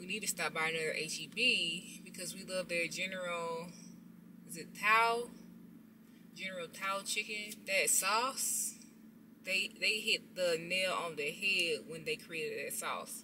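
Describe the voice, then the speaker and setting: At a fairly slow pace, the speech shows ordinary pitch variation and big swings in loudness over noticeable background noise. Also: woman. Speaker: vlogger. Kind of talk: casual vlog chat. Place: car. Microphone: phone near.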